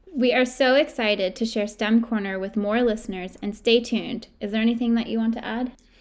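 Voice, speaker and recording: Delivered in a normal speaking voice, the speech moves at a fairly quick pace with hardly any pauses and fairly even intonation. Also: woman, fairly high pitch for a woman. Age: 20s. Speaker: podcast co-host, college student. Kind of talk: casual chat.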